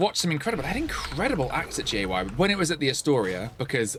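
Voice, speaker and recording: A man talks fairly quickly with music playing in the background. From Essex, England. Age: 40s. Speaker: live streamer. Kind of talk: casual chat while gaming.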